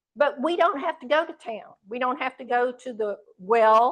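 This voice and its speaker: A woman speaks with lively intonation at a fairly slow pace. It is an ordinary speaking voice. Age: 60s. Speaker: speaker on water issues. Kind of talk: talk to audience. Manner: conversational, interactive.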